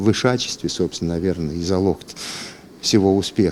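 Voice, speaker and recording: Here is a man talking. His pitch is very deep and low. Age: 60s. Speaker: radio and TV journalist, former announcer, library worker. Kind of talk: interview answer, reflective talk about his acting and career. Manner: conversational, ironic, self-deprecating.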